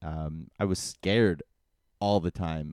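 On a very clean recording with a silent background, a man's dark, mellow voice sounds dry and close with no echo and ordinary pitch variation. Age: 30s. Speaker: podcast host. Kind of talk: casual monologue. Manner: rambling, hesitant with fillers.

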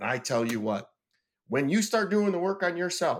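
Loud and animated, a man speaks at a high pitch with very wide pitch swings. His pace is moderate, and the recording is very clean with a silent background. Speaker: business owner and author. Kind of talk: casual chat.

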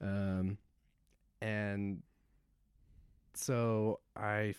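A fairly low male voice on a very clean recording against a silent background. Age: 30s. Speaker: military veteran and marriage and family therapist. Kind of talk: casual interview conversation. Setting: therapist's office.

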